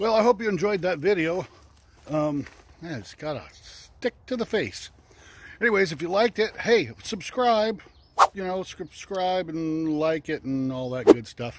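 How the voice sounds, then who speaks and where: A man at a fairly slow pace, dry with no echo, against loud background noise. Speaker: hiking vlogger. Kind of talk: casual vlog chat. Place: open country. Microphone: phone near.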